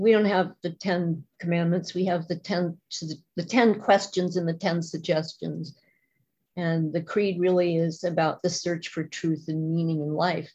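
A woman speaks fairly slowly in a fairly low, somewhat breathy voice. Her tone is dark and mellow, her intonation flat and monotone. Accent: American. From US Midwest. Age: 60s. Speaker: recovering alcoholic speaker. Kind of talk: testimony. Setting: video call.

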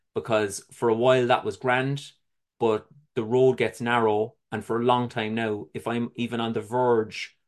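A man speaks at a moderate pace with a Cork accent, his pitch sitting in the middle range. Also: quiet background. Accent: Cork Irish. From Ireland, Cork City. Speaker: recovering addict sharing his story. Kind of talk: testimony.

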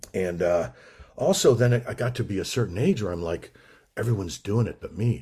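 Somewhat breathy, a man's fairly low voice carries a dark, mellow tone and ordinary pitch variation. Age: 60s. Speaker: recovery meeting speaker. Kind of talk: testimony.

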